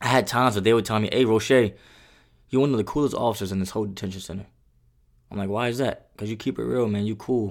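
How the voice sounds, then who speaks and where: In a very clean recording with a silent background, a man with an American accent speaks very fast in an animated tone at a fairly low pitch. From the Bronx, New York City. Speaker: security guard. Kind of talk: casual interview conversation. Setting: in person.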